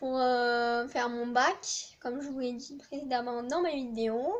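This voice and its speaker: Very slowly, a woman speaks at a high pitch with fairly even intonation. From southern France. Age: 20s. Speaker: student vlogger. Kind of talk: casual chat. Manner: hesitant, many fillers.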